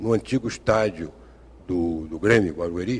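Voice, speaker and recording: Lively intonation runs through this man's moderately paced speech. There's a somewhat breathy quality to it. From Brazil, Rio de Janeiro. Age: 60s. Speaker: retired engineer and writer, football fan. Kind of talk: TV interview.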